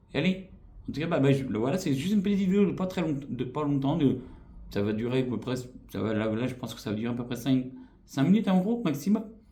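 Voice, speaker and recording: Very fast, somewhat breathy speech from a man with a fairly high pitch, dark, mellow tone, very wide pitch swings and audible room echo. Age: 40s. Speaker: YouTuber. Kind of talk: vlog channel introduction. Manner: hesitant, many fillers.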